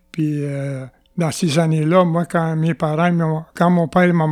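Spoken at a very slow pace with a Quebec accent, the voice keeps a fairly even intonation. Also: man, very clean recording, silent background. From Quebec, Atikamekw community of Opitciwan. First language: Atikamekw (speaking French). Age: 70s. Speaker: former chief and elder. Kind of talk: interview. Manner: halting.

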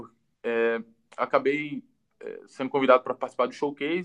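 A man's fairly high-pitched voice at a fairly quick pace, dry and close with no echo, an ordinary speaking voice. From Ceará, Brazil (Juazeiro do Norte). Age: 20s. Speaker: goalkeeper and football coach. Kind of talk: casual interview on a livestream. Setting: online live video stream. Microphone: low quality audio ripped from video.

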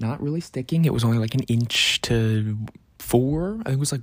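A man speaks at medium pitch, somewhat breathy, at a fairly quick pace with ordinary pitch variation. The recording is very clean, and the background is silent. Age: 20s. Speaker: podcast host. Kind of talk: casual monologue. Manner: casual, many filler words.

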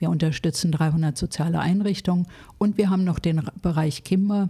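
A woman speaks with a somewhat breathy voice, a dark, mellow tone, ordinary pitch variation and a fairly low pitch. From Berlin (West Berlin). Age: 60s. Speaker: social worker, charity founder. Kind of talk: interview.

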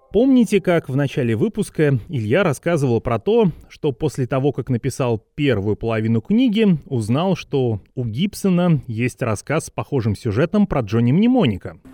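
A man with a fairly high pitch and a dark, mellow tone talks with hardly any pauses and very wide pitch swings, his voice dry and close with no echo over a quiet background. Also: moderate pace. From Vorkuta, northern Russia. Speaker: podcast host. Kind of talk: scripted narration.

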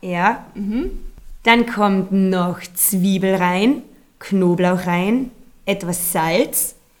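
A woman speaks at a very slow pace, with long, frequent pauses. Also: medium pitch for a woman, ordinary pitch variation. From Austria, Carinthia. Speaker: activity guide and yoga teacher. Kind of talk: casual interview.

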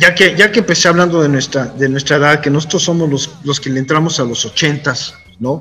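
A man speaks fairly quickly at a fairly high pitch, with ordinary pitch variation and noticeable background noise behind him. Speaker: podcast host and cartoonist. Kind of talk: casual interview chat.

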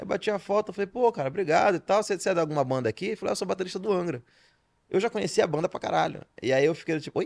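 Very clean recording with a silent background, dry and close with no echo, of a man speaking very fast in a high pitch with lively intonation. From Belém, Pará, Brazil. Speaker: stand-up comedian and writer. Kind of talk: casual podcast interview. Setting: studio. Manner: fast-talking, now tries to articulate more.

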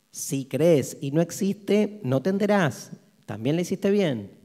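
A man with a high voice and a dark, mellow tone speaks at a very slow pace. His pitch swings very widely. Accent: Rioplatense. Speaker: philosophy lecturer. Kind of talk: lecture.

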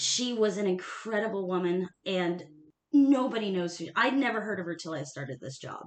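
A woman with a medium pitch speaks at a moderate pace with lively intonation. Her loudness swings a lot, and audible room echo surrounds her voice. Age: 30s. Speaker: nonprofit staff member and history enthusiast. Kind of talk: casual chat.

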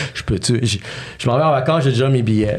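A man's medium-pitched voice with vocal fry. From Montreal, Quebec (childhood partly in New York). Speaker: entrepreneur and podcast host. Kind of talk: casual interview chat.

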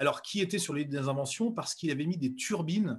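A man talks in a somewhat breathy voice. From central France. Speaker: speed skier and entrepreneur. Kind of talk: interview. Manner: halting, many fillers.

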